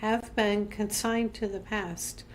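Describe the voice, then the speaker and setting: Calm in tone, a woman speaks fairly slowly at a fairly high pitch. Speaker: minister leading a devotional series. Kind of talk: devotional talk; guided reflection.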